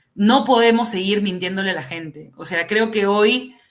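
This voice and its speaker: A woman speaks at a moderate pace in a medium pitch, her tone bright and sharp as well as passionate and animated, with ordinary pitch variation. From Peru, central Lima. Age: 30s. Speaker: congressional candidate. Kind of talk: political interview. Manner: passionate, animated.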